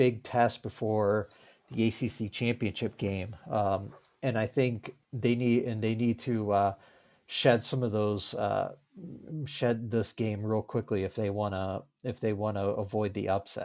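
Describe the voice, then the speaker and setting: A man with an American accent and an unremarkable speaking voice talks at a fairly slow pace in a medium pitch, with fairly even intonation, on a very clean recording with a silent background. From Virginia. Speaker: sports writer and podcaster. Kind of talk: casual chat.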